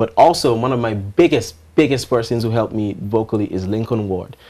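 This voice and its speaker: His tone is dark and mellow, and the man moves at a fairly quick pace. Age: young. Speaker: R&B singer; interviewee. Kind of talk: interview. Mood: earnest, reflective. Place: studio.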